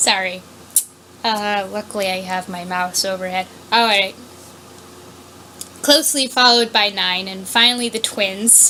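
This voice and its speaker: Amid noticeable background noise, a woman talks at a fairly slow pace with long, frequent pauses. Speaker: fan fiction reader. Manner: loud; halting.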